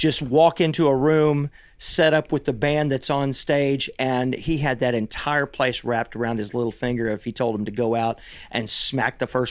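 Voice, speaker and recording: At a moderate pace, a man with an American accent speaks in an unremarkable speaking voice with ordinary pitch variation. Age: 60s. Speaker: songwriter and musician. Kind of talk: casual interview chat.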